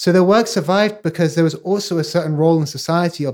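A man goes at a fairly quick pace, his fairly high pitch showing ordinary variation, in an ordinary speaking voice. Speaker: podcast host and journalist. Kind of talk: interview with scripted intro.

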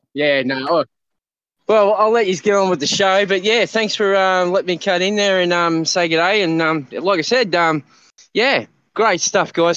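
This man has a high pitch with ordinary variation and very even loudness. He speaks at a moderate pace against a quiet background. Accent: Australian. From Queensland, Australia. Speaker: listener calling in. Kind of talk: casual chat. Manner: halting, many fillers.

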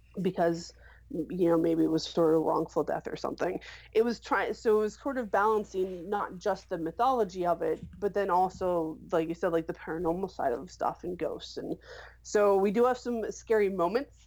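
A woman speaks at a medium pitch and a moderate pace, with ordinary pitch variation. Hers is an ordinary speaking voice. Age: 30s. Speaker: web series creator and writer. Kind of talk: casual interview.

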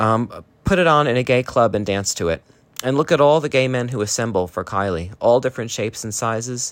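A man with an American accent and an ordinary speaking voice, moderate pace, ordinary pitch variation, very clean recording with a silent background. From US, New Jersey. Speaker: listener sending voice message. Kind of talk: recorded voice message.

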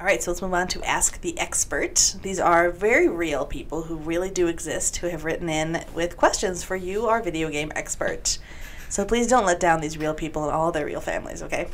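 Amid noticeable background noise, a woman speaks at a fairly quick pace. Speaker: podcast co-host. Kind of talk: casual chat.

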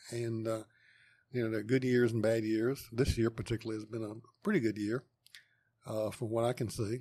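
Man with a North Carolina accent, medium pitch, dark and mellow tone, monotone and flat, fairly quick pace broken by long, frequent pauses. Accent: Southern US (North Carolina). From US South, eastern North Carolina (Wendell, Wake County). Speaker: engineering professor. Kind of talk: interview. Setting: on location at university lab.

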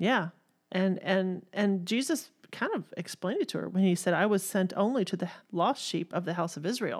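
A woman with a Texan accent speaks at a moderate pace in a medium pitch with ordinary pitch variation, on a very clean recording with a silent background. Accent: Southern US, Texan. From Texas.

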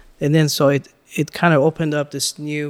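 A man with an American accent and an unremarkable speaking voice, fairly high in pitch, at a moderate pace. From Los Angeles, Iranian-born. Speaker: business owner, food distributor. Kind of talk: interview.

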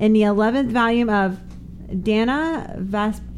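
A woman with an American accent speaks at a fairly high pitch with ordinary pitch variation. Noticeable background noise runs under her voice. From New Jersey. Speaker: adult film performer. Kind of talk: casual chat. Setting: studio.

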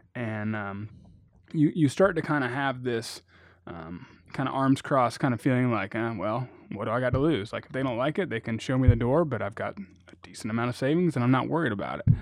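With a normal speaking voice, a man talks at a fairly quick pace and a medium pitch. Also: ordinary pitch variation. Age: 30s. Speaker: financial independence blogger. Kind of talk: casual chat.

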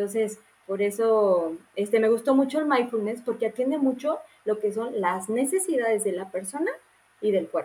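At a moderate pace, a woman speaks with lively intonation, a fairly high pitch and a dark, mellow tone. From Mexico, Morelia. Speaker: nutritionist. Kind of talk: casual interview.

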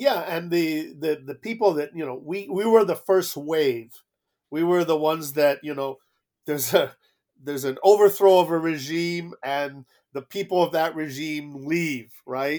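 In a plain, everyday voice with an American accent, a man speaks at a fairly slow pace and a fairly high pitch, with ordinary pitch variation, on a very clean recording with a silent background. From South Florida, Cuban exile family. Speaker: diplomat. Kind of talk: interview.

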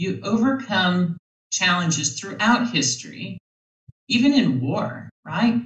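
A woman with an American accent talks at a very slow pace, her medium pitch swinging very widely. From US Midwest, Minnesota. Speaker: tech foundation CEO. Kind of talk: interview.

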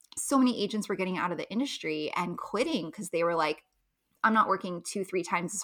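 On a very clean recording with a silent background, a woman with an American accent speaks at a fairly quick pace, her medium-pitched voice bright and sharp in tone, with lively intonation. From US West Coast, Los Angeles. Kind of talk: interview.

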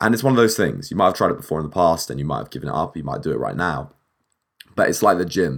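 On a very clean recording with a silent background, a man speaks in a very deep, low pitch that is husky with vocal fry. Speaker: podcast host. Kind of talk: casual solo monologue. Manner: animated.

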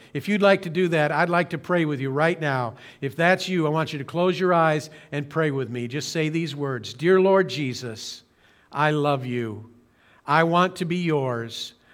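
Recorded very cleanly with a silent background, a man with an American accent uses an unremarkable speaking voice with ordinary pitch variation. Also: fairly high pitch for a man. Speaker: pastor. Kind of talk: sermon. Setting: streamed church service, broadcast. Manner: earnest.

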